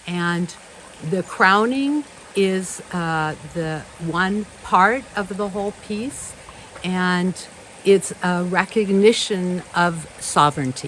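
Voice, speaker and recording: There is noticeable background noise as a woman speaks at a very slow pace. Her pitch is medium, with ordinary variation. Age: 70s. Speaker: spiritual ceremony leader. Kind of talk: ceremonial welcome speech. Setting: home temple ceremony.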